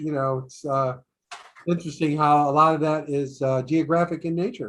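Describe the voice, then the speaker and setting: At a moderate pace, a man with an unremarkable speaking voice talks in a fairly high pitch with fairly even intonation. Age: 60s. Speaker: program host. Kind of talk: casual chat. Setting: video call.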